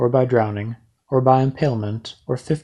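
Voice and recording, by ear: A natural voice reads aloud, and the background is quiet.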